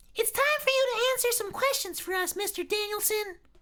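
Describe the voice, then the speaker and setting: A man uses a put-on character voice at extremely high pitch. It is shrill and squeaky, delivered at a fairly quick pace. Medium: read story. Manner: entitled, whiny, overdramatic.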